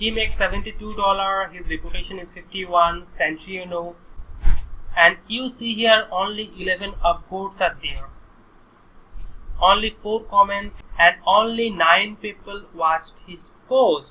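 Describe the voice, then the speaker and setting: The speaker talks at a fairly slow pace in an Indian accent. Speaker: online course instructor. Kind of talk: screen-recorded tutorial.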